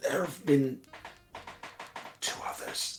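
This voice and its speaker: Faint music plays behind a man doing a raspy, put-on character voice at a high pitch. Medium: actual play. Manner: calm, commanding, paternal.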